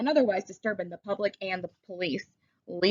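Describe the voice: Plain reading aloud, lively in intonation, set against a quiet background.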